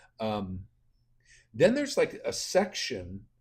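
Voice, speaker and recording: A somewhat breathy voice speaks at a moderate pace. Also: man. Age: 60s. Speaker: bible hobbyist vlogger. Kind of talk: casual monologue. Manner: halting, many fillers.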